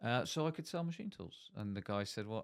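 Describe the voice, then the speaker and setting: A man with a Bristol accent at medium pitch, very wide pitch swings and a fairly quick pace, on a very clean recording with a silent background. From Bristol, South West England. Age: 60s. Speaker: managing director in manufacturing. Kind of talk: casual interview.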